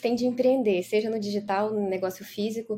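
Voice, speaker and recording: A woman talks in a normal speaking voice, fairly high in pitch, with fairly even intonation at a fairly quick pace. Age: 40s. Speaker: business mentor. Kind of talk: casual interview.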